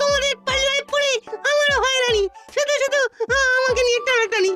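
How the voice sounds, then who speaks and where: This cartoonish character voice sits at an extremely high pitch and moves at a moderate pace. Faint music plays in the background. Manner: chatty, gossipy.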